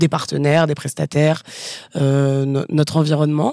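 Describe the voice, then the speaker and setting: A woman with a very deep, low pitch and a dark, mellow tone is heard in a dry sound with no echo over a quiet background. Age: 30s. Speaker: communications staff member; guest. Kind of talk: casual chat. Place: office. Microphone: studio mic.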